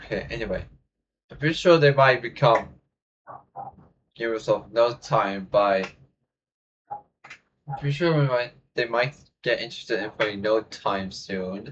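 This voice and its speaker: Long, frequent pauses break up the speech of a man whose medium-pitched voice is somewhat breathy. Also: ordinary pitch variation, fairly slow pace. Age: young. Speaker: YouTube reaction creator. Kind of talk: casual reaction video outro. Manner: halting, many fillers.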